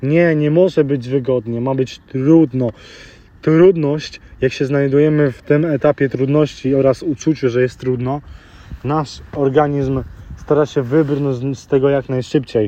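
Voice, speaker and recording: Here a man speaks fairly slowly with fairly even intonation. His fairly high voice has a dark, mellow tone. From grew up in London, UK (Polish family). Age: 20s. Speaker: motivational podcaster. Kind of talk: motivational monologue. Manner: halting.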